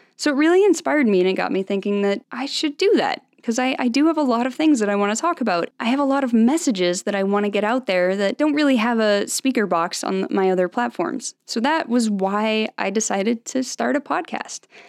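A woman talks at a fairly quick pace with hardly any pauses, in a plain, everyday voice at a fairly high pitch. Her intonation is lively, and the sound is dry and close with no echo. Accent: American. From US, Salt Lake City, Utah. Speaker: podcast host and social media creator. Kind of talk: casual solo podcast monologue. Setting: home studio microphone.

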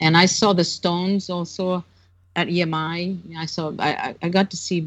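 A woman with a Brazilian accent speaks in a fairly low pitch with monotone, flat intonation. The background is quiet. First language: Portuguese. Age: 60s. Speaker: author and longtime Beatles fan. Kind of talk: casual interview. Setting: remote call.

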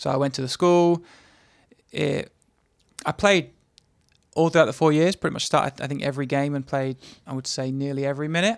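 A fairly high-pitched man with an English accent at a fairly quick pace, with ordinary pitch variation and long, frequent pauses. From England. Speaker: soccer assistant coach. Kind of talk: casual interview.

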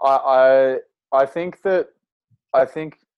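The background is quiet as a man speaks. He has an Australian accent and ordinary pitch variation. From Australia, northern New South Wales. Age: 20s. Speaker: outdoor educator and cycling adventurer. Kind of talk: casual interview.

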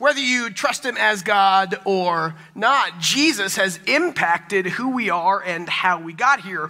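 With an American accent, the speaker uses a raised, projected voice at a fairly slow pace with lively intonation and hardly any pauses, over noticeable background noise. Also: man, high pitch for a man. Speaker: pastor. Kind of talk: sermon. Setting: church.

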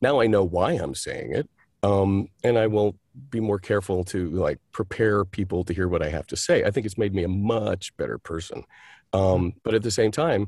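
Using a normal speaking voice, a man talks at a fairly low pitch and a moderate pace with ordinary pitch variation on a very clean recording with a silent background. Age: 60s. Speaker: actor, director and playwright. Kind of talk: interview.

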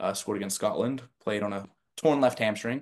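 Against a quiet background, a normal speaking voice with an American accent moves at a moderate pace with fairly even intonation. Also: man. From New Jersey. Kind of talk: interview.

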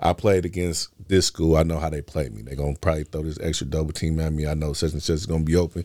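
With an American accent, a man speaks at a very fast pace in a very deep, low pitch and dark, mellow tone, his fairly even intonation captured in a very clean recording with a silent background and a dry, close sound with no echo. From California (Oakland and Los Angeles). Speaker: youth basketball coach. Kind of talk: casual interview.

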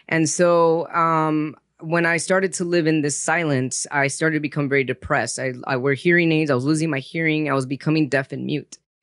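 A man talks in a plain, everyday voice at a fairly quick pace with hardly any pauses, his pitch fairly high and his intonation fairly even. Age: 40s. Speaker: psychologist and author with a rare disease. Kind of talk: personal testimony in interview.

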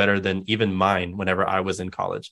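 Against a quiet background, a man talks at a very fast pace with a fairly low pitch and an American accent. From West Texas. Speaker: university diversity director. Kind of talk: interview.

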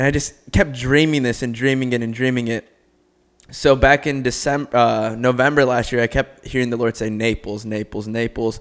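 A man with a plain, everyday voice talks at a moderate pace. His pitch is medium and his intonation fairly even. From Cleveland, Ohio. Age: 20s. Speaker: podcast co-host. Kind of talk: casual chat with faith testimony. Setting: home recording.

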